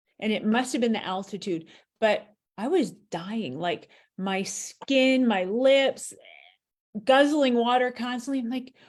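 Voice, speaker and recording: A woman's high-pitched voice with an American accent, ordinary pitch variation and a fairly slow pace. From US East Coast. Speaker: author and chat host. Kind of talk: casual chat.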